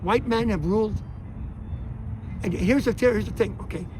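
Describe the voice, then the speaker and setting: Against noticeable background noise, a man talks in a high pitch with ordinary pitch variation. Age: 70s. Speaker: protester. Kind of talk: casual chat. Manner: animated.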